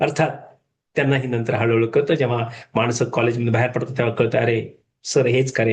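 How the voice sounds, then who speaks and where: The man's voice is somewhat breathy. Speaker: retired management professor, motivational speaker. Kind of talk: motivational talk. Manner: casual, code-switching with English and Hindi.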